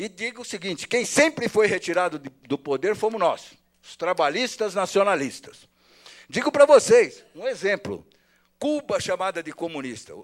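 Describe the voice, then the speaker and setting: At a moderate pace, a man with a high voice swings very widely in pitch and greatly in loudness, on a very clean recording with a silent background. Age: 60s. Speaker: politician. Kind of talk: public hearing speech. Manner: animated.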